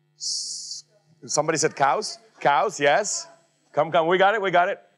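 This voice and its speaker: The speaker moves at a moderate pace with music in the background. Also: man. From Czech Republic. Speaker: economist and keynote speaker. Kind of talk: keynote talk with audience interaction. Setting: conference stage with audience.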